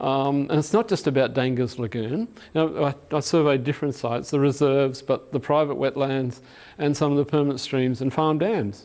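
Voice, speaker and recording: Delivered at a fairly quick pace, the speech comes in an Australian accent with ordinary pitch variation. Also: man, fairly high pitch for a man. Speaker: ecologist. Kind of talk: lecture. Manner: halting, many fillers.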